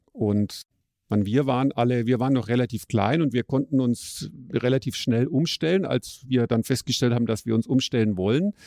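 A man's dark, mellow, medium-pitched voice at a moderate pace, with ordinary pitch variation and very even loudness, in a dry, close sound with no echo over a quiet background. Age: 50s. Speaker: software developer, podcast co-host. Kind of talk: casual chat; reading aloud.

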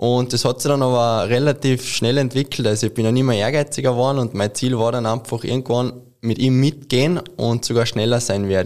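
Speaking with a Carinthian accent, a man keeps a medium pitch and fairly even intonation at a fairly quick pace. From Austria, Carinthia. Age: 20s. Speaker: ski mountaineering athlete. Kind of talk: interview.

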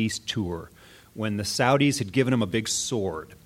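In a normal speaking voice, a man keeps to a moderate pace. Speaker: comedy writer. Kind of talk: live panel discussion. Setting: stage with audience.

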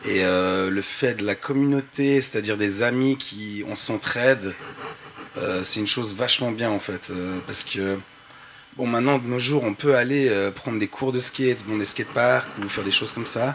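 Noticeable background noise is audible throughout. The man's delivery keeps a moderate pace. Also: medium pitch for a man, ordinary pitch variation. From French-speaking Switzerland, Montreux. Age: 30s. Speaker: graffiti artist and skateboarder. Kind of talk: panel discussion. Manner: casual, halting.

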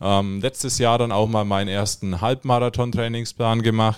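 A man speaks in a normal speaking voice at medium pitch and a moderate pace. His intonation is fairly even, and the recording is very clean with a silent background. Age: 20s. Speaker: triathlon beginner, amateur athlete. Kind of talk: casual interview. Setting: studio.

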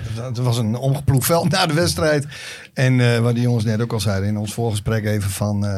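A man talks fairly quickly at a medium pitch with ordinary pitch variation. Room echo is audible. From Drenthe, Netherlands. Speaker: podcast sidekick. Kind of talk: casual chat.

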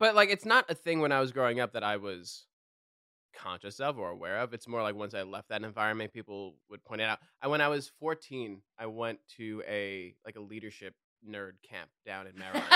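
On a very clean, dry, close recording with a silent background and no echo, a man with a slight New York accent speaks at a fairly quick pace with a bright, sharp tone, a fairly low pitch and big swings in loudness. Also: ordinary pitch variation. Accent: faint New York. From New York City. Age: 30s. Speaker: guest, partner of a team member. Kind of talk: casual chat. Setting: rental house podcast set. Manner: animated, hammy.

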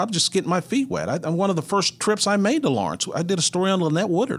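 Speaking fairly quickly, a man with a Texan accent has a high pitch. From north central Texas (Mineral Wells). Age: 60s. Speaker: retired sports broadcaster. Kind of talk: interview.

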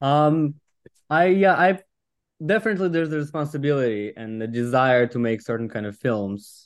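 Against a quiet background, a man with a Russian accent talks at a fairly quick pace in a fairly high voice with lively intonation. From Russian Far East. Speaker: film producer. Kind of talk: interview.

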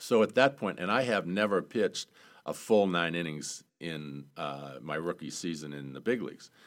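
This man has a very deep, low pitch and lively intonation at a moderate pace. The recording is very clean, with a silent background. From Maine, South Portland. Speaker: former baseball player and executive. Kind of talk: casual interview.

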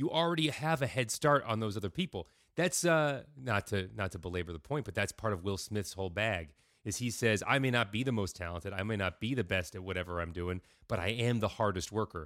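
Recorded very cleanly against a silent background, a man with an ordinary speaking voice talks at a fairly quick pace, fairly low in pitch, with lively intonation. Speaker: podcast co-host. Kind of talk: casual chat.

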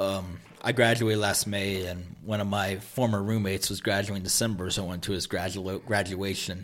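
A man's fairly low, monotone, flat voice at a fairly quick pace, with hardly any pauses. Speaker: college sports fan and podcast guest. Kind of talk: casual chat.

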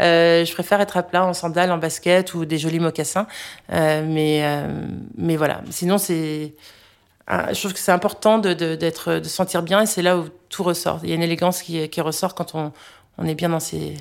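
A woman's fairly low, monotone, flat voice at a moderate pace, with long, frequent pauses, in a very clean recording with a silent background. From United States. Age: 40s. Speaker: food blogger. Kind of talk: casual chat. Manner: halting.

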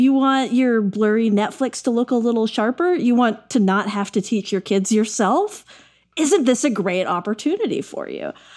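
A woman speaks at a moderate pace with lively intonation, in an ordinary speaking voice pitched fairly high. The recording is very clean, with a silent background. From Texas. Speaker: podcast host, tech editor. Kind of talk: casual chat.

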